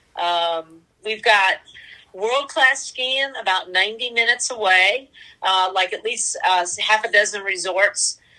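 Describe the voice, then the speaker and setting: With a bright, sharp tone and fairly high pitch, a woman speaks at a very slow pace with ordinary pitch variation. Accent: American. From North Carolina, US South. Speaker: local guide sharing travel tips. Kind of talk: casual chat.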